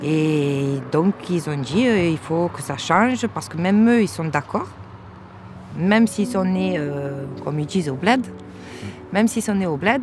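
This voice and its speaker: Over faint music, a woman with a fairly low pitch speaks fairly slowly, her pitch swinging very widely, with long, frequent pauses in a dry sound that has no echo. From France, Marseille. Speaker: interviewee, party supporter; interviewee. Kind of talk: interview. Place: open country.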